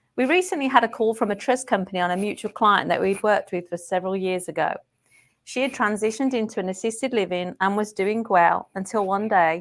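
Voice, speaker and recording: A woman with a slight English accent at a fairly quick pace, ordinary pitch variation, on a very clean recording with a silent background. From England. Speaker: care management program manager. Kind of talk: podcast interview.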